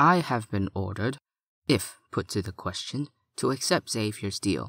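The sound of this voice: In a put-on character voice, a man speaks at a fairly low pitch with vocal fry, lively intonation and a fairly bright tone, at a fairly slow pace in a very clean recording with a silent background.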